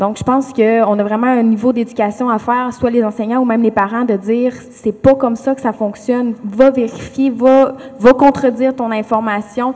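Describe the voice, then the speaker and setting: Hardly pausing, a woman with a high pitch speaks at a moderate pace in a monotone, flat intonation. Noticeable background noise sits behind her. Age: 20s. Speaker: education student. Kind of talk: panel discussion.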